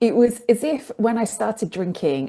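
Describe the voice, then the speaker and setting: With a British accent, a woman speaks with lively intonation and a dark, mellow tone against a quiet background. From England. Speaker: sobriety coach. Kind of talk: interview conversation.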